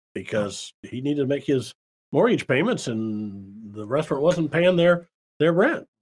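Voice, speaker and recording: In a very clean recording with a silent background, a man with an American accent speaks at a fairly high pitch, swinging very widely up and down. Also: moderate pace. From US Midwest, Davenport, Iowa. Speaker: small business accountant and consultant. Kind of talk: casual interview.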